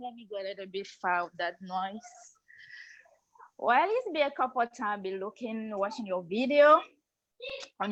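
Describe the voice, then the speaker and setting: At a moderate pace, a woman with a non-native accent speaks at a fairly high pitch with lively intonation. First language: not English. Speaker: program member. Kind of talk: testimony.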